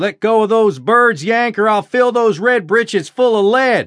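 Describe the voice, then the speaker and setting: A man's put-on character voice, shouted at a high pitch and moderate pace, with very even loudness. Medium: read story. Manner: shouting, taunting.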